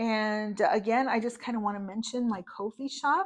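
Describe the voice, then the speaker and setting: A woman with a fairly high pitch speaks at a moderate pace, using ordinary pitch variation. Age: 50s. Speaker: budgeting vlogger. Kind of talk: casual vlog monologue. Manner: animated.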